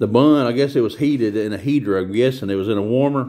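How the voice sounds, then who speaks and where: Over a quiet background, the speech runs at a fairly quick pace with ordinary pitch variation. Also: man. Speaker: home food vlogger. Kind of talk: casual vlog chat. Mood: relaxed, chatty. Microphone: phone near.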